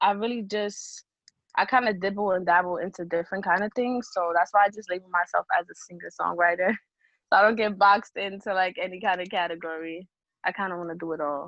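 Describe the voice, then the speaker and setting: A woman speaks very fast with fairly even intonation. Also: medium pitch for a woman. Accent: New York. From New York, the Bronx. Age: 20s. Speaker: singer-songwriter. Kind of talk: interview.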